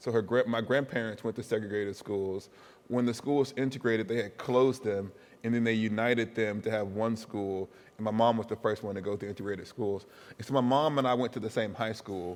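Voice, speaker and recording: Using a plain, everyday voice, a man with an American accent talks at a fairly quick pace, medium in pitch, with fairly even intonation. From US South, Huntsville, Alabama. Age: 40s. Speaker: professor. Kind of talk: interview.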